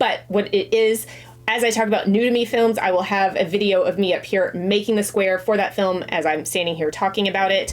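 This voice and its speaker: Music plays behind a woman speaking at medium pitch. She talks very fast with ordinary pitch variation. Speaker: crochet and movie vlogger. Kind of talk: casual vlog talk.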